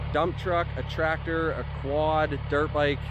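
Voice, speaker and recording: Amid noticeable background noise, a man speaks in a dry sound with no echo. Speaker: property owner vlogger. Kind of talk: casual vlog chat. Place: open country.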